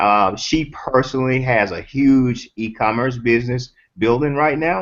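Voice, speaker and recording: A man speaks at a moderate pace and a medium pitch, with ordinary pitch variation. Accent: slight Southern US. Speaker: online business coach. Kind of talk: casual chat. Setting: video call. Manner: halting.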